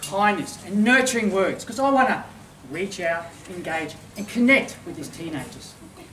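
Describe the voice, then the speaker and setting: Over noticeable background noise, a man speaks at a moderate pace in a high voice. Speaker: master of ceremonies, professional speaker. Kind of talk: opening address at a formal dinner, humorous speech. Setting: function room with live audience.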